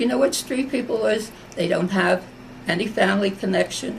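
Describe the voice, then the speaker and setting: Noticeable background noise runs behind a woman's voice. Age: 80s+. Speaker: war veteran. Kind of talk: oral history interview.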